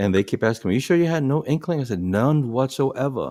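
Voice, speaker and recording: A man with a New York accent speaks at a very fast pace and medium pitch, dark and mellow in tone with lively intonation, in a very clean recording with a silent background. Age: 60s. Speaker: podcast co-host, bus driver. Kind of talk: casual chat.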